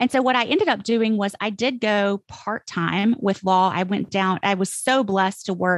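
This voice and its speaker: With a Mississippi accent, a woman talks at a fairly quick pace and medium pitch with ordinary pitch variation, in a dry, close sound with no echo against a quiet background. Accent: Southern US, Mississippi. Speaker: copywriter, former attorney. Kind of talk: interview answer.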